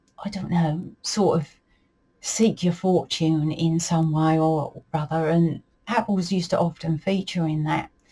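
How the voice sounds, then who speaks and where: Fairly slow and somewhat breathy, a woman's fairly low voice carries a dark, mellow tone and fairly even intonation. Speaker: folklore and dialect storyteller. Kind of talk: casual talk-to-camera explanation. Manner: relaxed, conversational with fillers.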